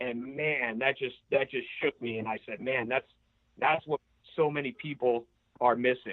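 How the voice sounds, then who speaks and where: A man with an American accent and a normal speaking voice talks at a moderate pace, with a medium pitch and fairly even intonation. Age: 30s. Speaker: entrepreneur and CEO. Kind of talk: podcast interview answer.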